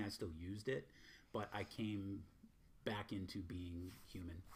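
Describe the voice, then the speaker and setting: A man with an American accent speaks in a somewhat breathy voice. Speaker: spiritual teacher. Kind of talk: casual chat. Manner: blunt.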